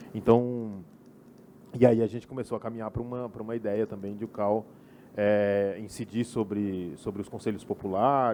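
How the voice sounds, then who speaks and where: A man speaks at a fairly low pitch and a moderate pace, with fairly even intonation. His tone is dark and mellow, and his loudness swings widely. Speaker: group rapporteur at architecture debate. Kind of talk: meeting report. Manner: soft-spoken; halting, many repetitions. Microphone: too quiet at first.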